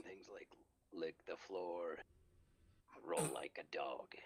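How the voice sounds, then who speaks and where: A man puts on a gruff, raspy character voice. He speaks at a very slow pace. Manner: barking commands.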